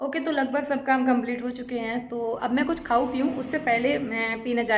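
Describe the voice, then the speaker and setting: A woman with a high voice speaks at a moderate pace, her intonation fairly even, with audible echo from the room. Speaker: vlogger. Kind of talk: casual vlog monologue. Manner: conversational.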